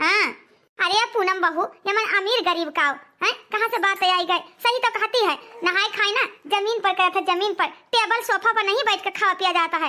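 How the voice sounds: A woman in a cartoonish character voice, extremely high-pitched, with ordinary pitch variation and a fairly quick pace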